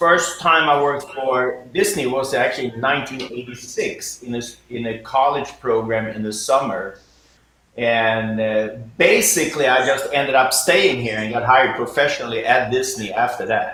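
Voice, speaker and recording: In a room with audible echo and noticeable background noise, a man with a Swedish accent speaks at a medium pitch and moderate pace, with ordinary pitch variation. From Sweden. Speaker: jazz pianist and professor. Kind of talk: interview. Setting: video call.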